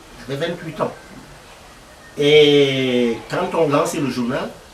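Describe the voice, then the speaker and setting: A man at a fairly high pitch and fairly slow pace, amid noticeable background noise and audible room echo. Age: 70s. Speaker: veteran journalist. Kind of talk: interview. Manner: halting.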